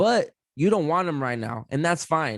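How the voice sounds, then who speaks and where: Loud and animated, a man speaks at a moderate pace with lively intonation in a dry, close sound with no echo. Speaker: podcaster, guest. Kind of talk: casual chat.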